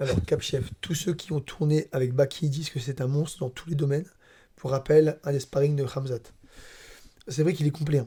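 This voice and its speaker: Pausing long and often, a man speaks with a fairly high pitch, a dark, mellow tone, a somewhat breathy quality and fairly even intonation. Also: moderate pace. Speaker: MMA analyst. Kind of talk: casual chat. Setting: training camp, handheld microphones.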